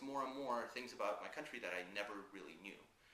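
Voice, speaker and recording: Very fast and with lively intonation, a man of medium pitch speaks amid audible room echo. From Russia. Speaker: composer. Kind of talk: interview. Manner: hesitant, many fillers.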